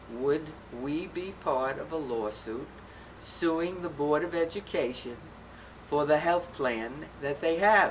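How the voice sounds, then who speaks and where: Over noticeable background noise, a woman speaks in a very deep, low voice. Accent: New York. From Brooklyn, New York. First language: Yiddish. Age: old. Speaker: LGBTQ rights activist. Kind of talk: interview.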